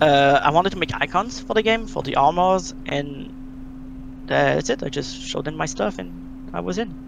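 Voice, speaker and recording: A man speaks with a strong French Canadian accent. His pace is moderate. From Quebec, French Canada. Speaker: game modder. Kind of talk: interview. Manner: halting.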